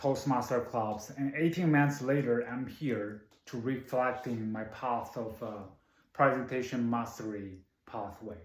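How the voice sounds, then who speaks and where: A man with a non-native accent talks fairly slowly at a medium pitch, with audible room echo. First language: not English. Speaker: public speaking club member. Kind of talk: prepared speech.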